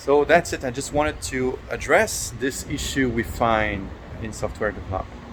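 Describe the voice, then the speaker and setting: With lively intonation at a medium pitch, a man speaks at a moderate pace over noticeable background noise. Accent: French. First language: French. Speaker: software developer. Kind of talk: talking to camera about his business. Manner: halting, many fillers and repetitions.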